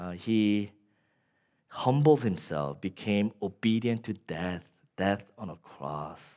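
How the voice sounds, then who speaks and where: Speaking very slowly with an American accent, a man with a fairly low pitch and a dark, mellow tone uses lively intonation and big swings in loudness. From Northern Virginia, US. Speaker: pastor. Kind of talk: sermon.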